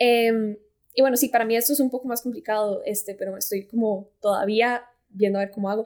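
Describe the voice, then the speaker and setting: A woman with a Costa Rican accent talks at a fairly quick pace, her fairly high pitch held in fairly even intonation. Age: 20s. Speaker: fashion design student and content creator. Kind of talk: casual interview.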